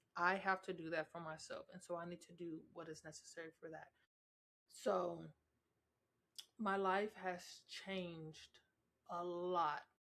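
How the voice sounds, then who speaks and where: A woman speaks at a fairly slow pace in a fairly low, flat monotone, with long, frequent pauses and big swings in loudness. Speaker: podcast host. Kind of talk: casual monologue.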